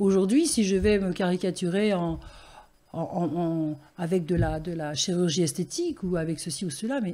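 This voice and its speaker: A woman speaks at a fairly low pitch with a dark, mellow tone. Her voice is somewhat breathy. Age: 70s. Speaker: grandmother and wellbeing guest. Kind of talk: casual interview chat. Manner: animated.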